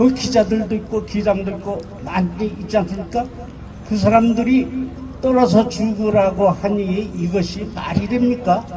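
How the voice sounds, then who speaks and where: The talking goes at a fairly slow pace while noticeable background noise carries on underneath. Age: 80s+. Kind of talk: protest rally speech. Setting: outdoors at cathedral entrance rally. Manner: impassioned, rhetorical questions; halting, self-correcting.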